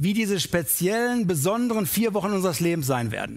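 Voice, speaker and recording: A man talks in an animated, warm tone at a high pitch for a man. His pace is moderate and his pitch variation ordinary. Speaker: preacher. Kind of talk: sermon. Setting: church; livestream. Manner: animated, warm and persuasive, speaking directly to the congregation; conversational, with rhetorical questions such as "Ne?".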